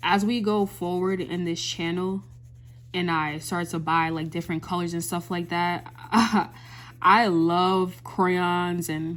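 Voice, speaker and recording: The speaker keeps a fairly slow pace. Intonation stays fairly even. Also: woman. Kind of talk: ASMR coloring video with soft motivational talk; casual talk to camera. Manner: soft-spoken, calming, rambling.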